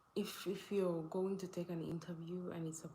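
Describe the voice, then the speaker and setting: With a Ugandan accent, a woman speaks at a fairly low pitch in fairly even intonation. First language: not English. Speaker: live streamer. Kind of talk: casual live stream chat. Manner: halting, self-correcting.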